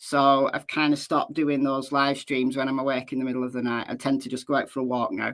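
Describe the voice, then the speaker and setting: The recording is very clean, with a silent background. A woman speaks in a very deep, low voice with monotone, flat intonation. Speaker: true crime YouTuber. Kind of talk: live stream commentary. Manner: loud; casual, chatty.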